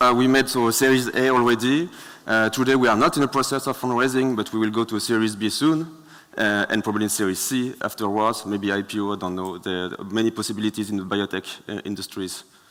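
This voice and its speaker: A man with a French accent speaks at a very fast pace. His voice sits at medium pitch with ordinary variation. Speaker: startup founder. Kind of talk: Q&A with judges. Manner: halting.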